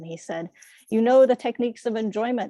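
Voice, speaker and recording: With a New York accent, a woman speaks in a dark, mellow tone with ordinary pitch variation, the sound dry and close with no echo. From New York City. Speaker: Buddhist dharma speaker. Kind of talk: dharma talk.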